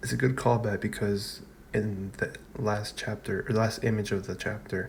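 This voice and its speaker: Somewhat breathy, a man speaks in a fairly low pitch at a moderate pace. His intonation stays fairly even. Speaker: anime and manga reviewer. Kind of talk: casual video review. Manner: halting, many fillers and restarts.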